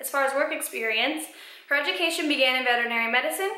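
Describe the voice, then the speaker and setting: In an American accent, a woman speaks very fast in a high, raised, projected voice with lively intonation and audible room echo. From Colorado. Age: 20s. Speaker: vlogger, college student. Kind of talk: reading aloud; casual vlog.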